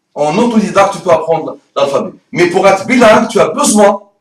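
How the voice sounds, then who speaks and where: Speaking at a moderate tempo, a man uses a high pitch that rises and falls in an ordinary way. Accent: strong non-native. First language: Arabic (speaking French). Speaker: Arabic teacher. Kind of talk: promotional talk to camera. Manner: fluent, no stutter; animated.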